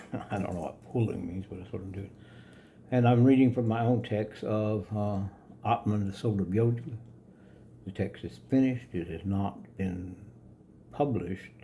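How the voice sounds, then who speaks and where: A man speaks at a moderate pace with long, frequent pauses and big swings in loudness. His voice is somewhat breathy, fairly low in pitch, and dark and mellow in tone. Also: ordinary pitch variation. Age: 70s. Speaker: yoga philosophy author. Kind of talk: reading own book with commentary to camera. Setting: home studio. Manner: calm.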